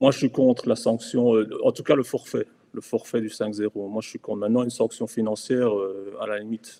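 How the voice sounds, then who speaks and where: A man with a dark, mellow tone and medium pitch speaks in a monotone, flat way with big swings in loudness, the sound dry and close with no echo. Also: moderate pace. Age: 40s. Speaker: amateur football club official. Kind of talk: casual chat.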